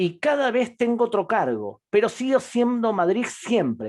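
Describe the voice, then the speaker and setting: His pitch rises and falls across a very wide range. The man delivers his words fairly slowly. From Argentina. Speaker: public diplomacy program director. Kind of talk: interview.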